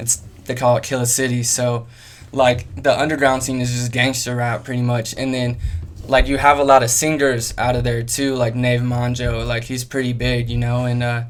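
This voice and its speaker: Monotone, flat intonation with an American accent at a moderate pace, plus audible room echo. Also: man, medium pitch for a man. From US Midwest (Kansas and Ohio). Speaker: rapper. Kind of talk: interview. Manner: hesitant, many fillers.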